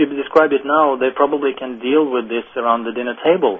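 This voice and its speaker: A man with a Norwegian accent talks at a fairly quick pace with a fairly high pitch. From Norway. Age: young. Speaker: management consultant. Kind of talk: interview. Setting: phone call.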